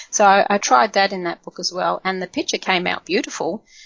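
A woman at medium pitch with an Australian accent and vocal fry, at a moderate pace. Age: 50s. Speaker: colouring YouTuber. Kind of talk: interview.

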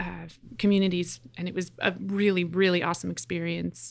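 At a moderate pace and medium pitch, a woman speaks in a normal speaking voice with fairly even intonation, in a very clean recording with a silent background. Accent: Canadian. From Canada, Edmonton, Alberta. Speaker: pastor. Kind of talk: interview conversation.

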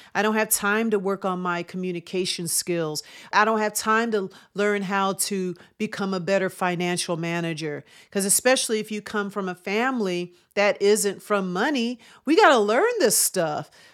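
On a very clean recording with a silent background, a woman at medium pitch uses an ordinary speaking voice with ordinary pitch variation. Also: moderate pace. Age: 50s. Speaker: chiropractor and wellness podcast host. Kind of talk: motivational monologue.

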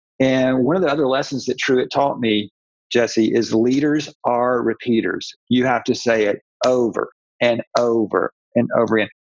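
This is an ordinary speaking voice, a man with an American accent at medium pitch and a moderate pace. His loudness stays very even, his intonation is fairly even, and the sound is dry and close with no echo. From US South, Atlanta. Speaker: author and church pastor. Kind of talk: casual interview.

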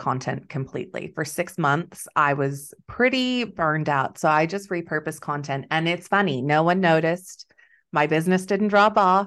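A woman with an ordinary speaking voice and a fairly low pitch talks at a fairly slow pace with lively intonation. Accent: American. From Texas. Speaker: business coach. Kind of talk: interview, casual chat.

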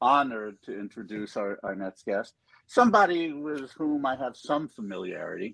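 A man's bright, sharp tone moves through very wide pitch swings. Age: 60s. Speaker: festival organizer and co-host. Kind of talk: casual chat.

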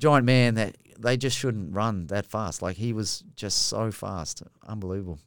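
Speaking with an Australian accent, a man talks at a fairly slow pace, his fairly low pitch showing ordinary variation. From Australia, rural New South Wales. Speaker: former rugby player, firefighter. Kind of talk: casual chat. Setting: studio.

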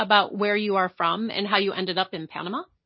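At a fairly quick pace, a woman talks at medium pitch in an ordinary speaking voice. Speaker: podcast host. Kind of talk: interview.

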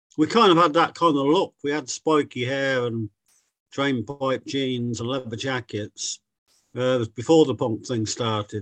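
A man's medium-pitched, ordinary speaking voice at a moderate pace with ordinary pitch variation. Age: 60s. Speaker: guitarist, musician. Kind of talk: interview.

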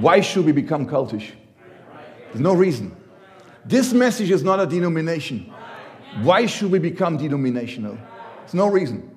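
In a German accent, a man's voice makes very wide pitch swings, with audible room echo and noticeable background noise. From Germany. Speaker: visiting preacher. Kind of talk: sermon. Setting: church. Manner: halting.

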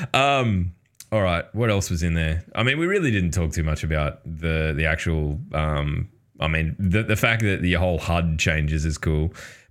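In an Australian accent, a man speaks with a very deep, low pitch. His pitch varies in an ordinary way. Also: moderate pace, very even loudness. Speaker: podcast host. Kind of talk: casual banter podcast. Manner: crude, joking.

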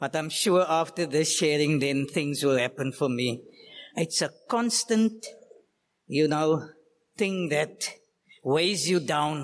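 Very slow and marked by long, frequent pauses, a man speaks at a fairly high pitch with ordinary pitch variation and very even loudness.

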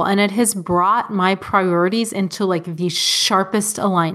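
A woman with a plain, everyday voice speaks in an American accent at a medium pitch and a moderate pace. Her intonation is fairly even, and the recording is very clean with a silent background. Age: 30s. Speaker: personal finance blogger and homesteader. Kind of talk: interview.

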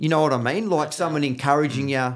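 This man speaks in an Australian accent at a fairly high pitch. His pace is moderate. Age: 50s. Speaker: floor and wall tiler. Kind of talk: casual chat. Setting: studio.

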